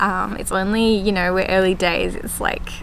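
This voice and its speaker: There is noticeable background noise and audible room echo. A woman speaks with an Australian accent at a moderate pace. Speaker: gardening vlogger. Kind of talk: casual vlog chat. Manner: runs words together, poor diction; hesitant, many fillers.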